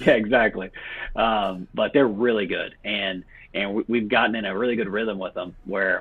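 A man with an American accent, fairly low in pitch, with fairly even intonation and a moderate pace. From Texas, Beaumont. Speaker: children's book publisher, physician. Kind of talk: interview. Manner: halting, many fillers and repeats.

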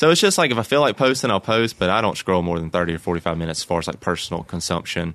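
Rushing at a very fast pace with hardly any pauses, a man speaks in a very deep, low pitch with lively intonation. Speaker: podcast guest. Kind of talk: casual conversation.

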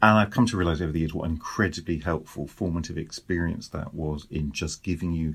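In a British accent, a man with a very deep, low pitch talks at a fairly quick pace, sounding somewhat breathy. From Britain. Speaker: author. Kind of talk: interview.

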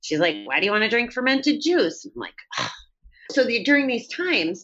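With vocal fry, a woman's voice makes very wide pitch swings. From upstate New York. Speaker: person in recovery from alcohol. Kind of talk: interview.

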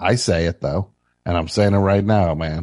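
A man with an American accent and an ordinary speaking voice, fairly low-pitched, at a moderate pace, with a dry, close sound with no echo and a quiet background. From New Jersey. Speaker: radio call-in show host. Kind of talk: call-in comedy show. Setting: studio.

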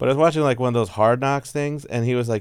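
A man with an ordinary speaking voice talks at a medium pitch with ordinary pitch variation on a very clean recording with a silent background. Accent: American. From Texas. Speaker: stand-up comedian. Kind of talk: casual chat.

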